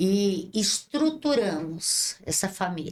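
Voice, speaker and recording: A woman's voice at a medium pitch. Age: 60s. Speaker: bishop and social project leader. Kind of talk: interview. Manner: impassioned, preacher-like.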